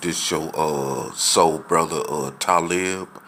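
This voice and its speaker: A man speaks with a very deep, low pitch and monotone, flat intonation. His pace is very slow, and noticeable background noise runs underneath. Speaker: video blogger. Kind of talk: casual monologue. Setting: apartment. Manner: soft-spoken; halting with fillers.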